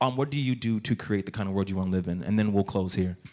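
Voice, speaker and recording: A man with an American accent talks very fast in a dark, mellow tone with ordinary pitch variation. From Texas. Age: adult. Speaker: moderator. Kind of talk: panel discussion. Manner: casual.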